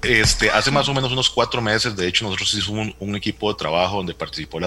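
Noticeable background noise sits under a man talking very fast with ordinary pitch variation. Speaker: doctor, health administrator. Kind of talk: interview.

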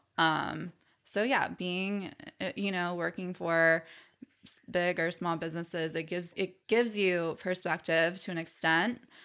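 On a very clean recording with a silent background, a woman speaks at a fairly slow pace. Her fairly low voice has a bright, sharp tone and fairly even intonation. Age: 30s. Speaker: small business owner. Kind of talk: casual chat.

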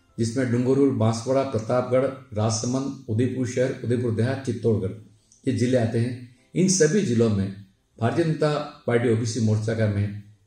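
Somewhat breathy, with a dark, mellow tone and a medium pitch, a man speaks amid audible room echo. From Udaipur, Rajasthan, India. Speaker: civil contractor and local politician. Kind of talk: life story interview.

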